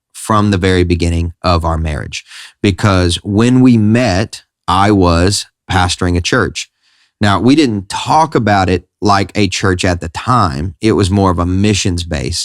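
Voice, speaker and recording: In a Southern US accent, a man with a very deep, low voice talks at a fairly slow pace, captured dry and close with no echo in a very clean recording against a silent background. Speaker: pastor and podcast host. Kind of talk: casual chat.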